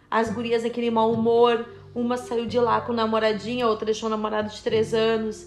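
A woman with a fairly high voice speaks at a fairly quick pace as noticeable background noise plays behind her. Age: 40s. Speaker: podcast co-host. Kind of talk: casual chat.

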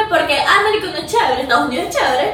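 With a Venezuelan accent and lively intonation, a woman talks over noticeable background noise in a room with audible echo. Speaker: filmmaker. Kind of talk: casual interview chat.

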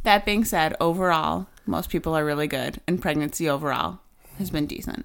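A woman with an American accent speaks with vocal fry. Her pitch is very deep and low. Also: ordinary pitch variation, moderate pace. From US Midwest, small town. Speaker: podcast co-host. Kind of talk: casual chat.

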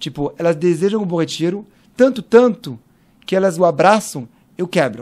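A French accent with lively intonation at a moderate pace, on a very clean recording with a silent background. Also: man. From France (Paris). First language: French (speaking Portuguese). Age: 40s. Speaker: cultural manager. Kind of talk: interview conversation.

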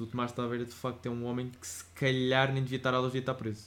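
This is a man's voice. It is pitched in the medium range. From Portugal. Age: 20s. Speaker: podcast co-host. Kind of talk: casual chat.

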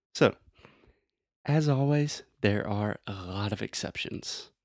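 Recorded very cleanly against a silent background, with a dry, close sound and no echo, a man with an American accent and an unremarkable speaking voice talks at a fairly slow pace with ordinary pitch variation. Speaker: English teacher and podcast host. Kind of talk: language lesson podcast. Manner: slow, clearly articulated.

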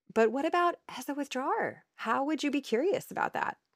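With an American accent, a woman talks at a moderate pace, the sound dry and close with no echo. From northern Ohio, US. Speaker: therapist and podcast host. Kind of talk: casual conversation, educational podcast.

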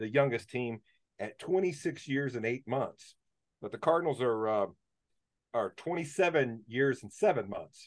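Against a quiet background, a man with an unremarkable speaking voice talks at a fairly slow pace in a medium pitch, with lively intonation and big swings in loudness. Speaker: podcast host. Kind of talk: casual chat.

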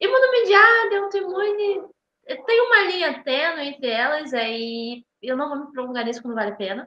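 Raised and projected, a woman's high voice moves at a moderate pace with very wide pitch swings. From Brazil, Rio de Janeiro. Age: 20s. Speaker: medical student. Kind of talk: casual interview.

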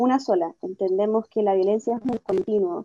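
A woman speaks in a normal speaking voice at medium pitch. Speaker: feminist activist. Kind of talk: interview.

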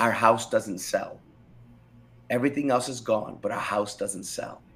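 With music in the background, a man speaks in an American accent at a moderate pace. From Rochester, New York. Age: 40s. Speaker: pastor. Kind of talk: testimony.

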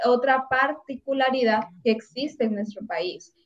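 A normal speaking voice at a fairly slow pace with fairly even intonation. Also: woman. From Honduras, La Paz. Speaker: student podcast co-host. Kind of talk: casual discussion.

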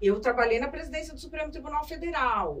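An animated, high-pitched woman's voice with lively intonation at a moderate pace, plus audible room echo and noticeable background noise. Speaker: journalist and author. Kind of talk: interview conversation. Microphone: poor audio capture.

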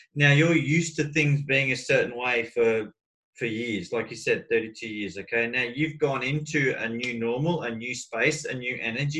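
A man's bright, sharp voice at a medium pitch, moderate pace and ordinary pitch variation, with hardly any pauses. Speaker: life coach. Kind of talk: coaching conversation. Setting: video call. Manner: animated.

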